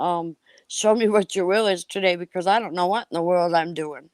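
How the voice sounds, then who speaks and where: A woman speaks with a fairly low pitch and fairly even intonation. The sound is dry and close with no echo. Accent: Upper Midwest. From Wisconsin. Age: 60s. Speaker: person in recovery sharing her story. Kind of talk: testimony. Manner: halting, many fillers and restarts.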